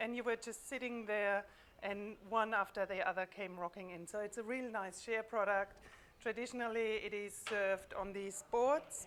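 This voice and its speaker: Her pitch fairly high and her intonation fairly even, a woman speaks at a moderate tempo. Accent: German. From Germany, near the French border. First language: German. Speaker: food business owner. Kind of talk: casual chat. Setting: live stream from a showroom.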